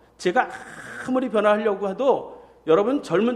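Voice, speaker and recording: A man speaks in a high pitch. Audible room echo hangs around his voice. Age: 50s. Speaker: pastor. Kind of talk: sermon.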